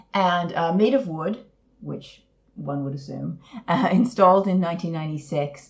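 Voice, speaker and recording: A woman with a Canadian accent talks at a moderate pace in a fairly low, somewhat breathy voice. Her intonation is lively, and her loudness swings widely. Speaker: podcast co-host. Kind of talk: casual chat.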